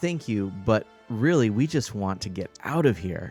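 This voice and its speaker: A man's gruff, put-on character voice at medium pitch and moderate pace, with faint music in the background. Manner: gruff but polite.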